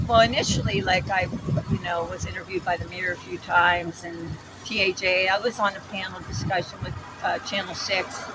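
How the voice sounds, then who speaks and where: Someone with an American accent talks at a fairly quick pace over noticeable background noise. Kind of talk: street interview. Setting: outdoors on a street corner. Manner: halting, self-described mumbling.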